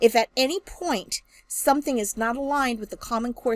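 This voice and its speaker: A woman with a normal speaking voice and fairly high pitch talks at a moderate pace with ordinary pitch variation, the sound dry and close with no echo. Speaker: math education instructor. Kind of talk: recorded lecture.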